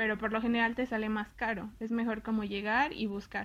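On a very clean recording with a silent background, a woman with a Mexican accent and a fairly high pitch speaks at a moderate pace. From Mexico. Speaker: university student. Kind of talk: casual interview.

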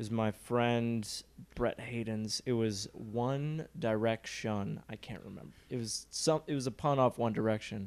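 A man at a medium pitch with a normal speaking voice, fairly slow pace, ordinary pitch variation and big swings in loudness. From Michigan (Rochester). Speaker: comedian. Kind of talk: casual chat.

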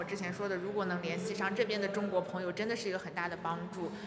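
A woman speaks at a very fast pace with a medium pitch and monotone, flat intonation, over noticeable background noise and audible room echo. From China. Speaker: master's student. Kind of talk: interview. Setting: on university campus. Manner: hesitant, many fillers.

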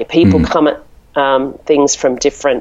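This voice carries an Australian accent and moves at a moderate pace. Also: woman. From Melbourne, Australia. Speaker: marketing director and blogger. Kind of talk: interview. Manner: hesitant, filler-heavy.

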